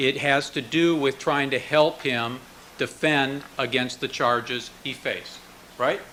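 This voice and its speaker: Using a plain, everyday voice, a man speaks at a fairly slow pace with a fairly high pitch and fairly even intonation. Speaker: prosecutor. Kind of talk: courtroom cross-examination. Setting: courtroom.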